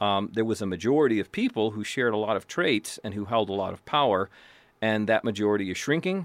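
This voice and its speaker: Talking at a fairly quick pace, a man with an American accent has a normal speaking voice, a fairly low pitch and ordinary pitch variation. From US. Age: 50s. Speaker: law professor and radio host. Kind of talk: radio interview.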